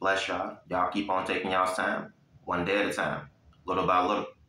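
There is audible room echo. A man speaks at a fairly quick pace. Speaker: lay preacher. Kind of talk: sermon. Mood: warm, encouraging. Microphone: phone near.

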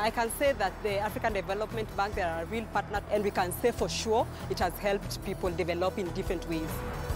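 With a Kenyan accent, a woman talks at a fairly quick pace with hardly any pauses and ordinary pitch variation, in a dry sound with no echo and clear music in the background. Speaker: human resource practitioner. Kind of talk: interview answer. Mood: positive, appreciative.

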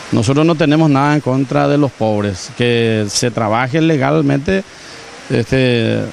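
Lively intonation from a man, dry sound with no echo, and light background noise. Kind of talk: interview answer. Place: market.

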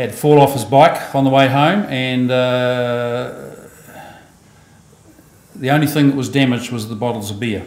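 A man talks with long, frequent pauses. Room echo is audible. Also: ordinary pitch variation. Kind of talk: eulogy speech. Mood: warm, lightly amused. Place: church.

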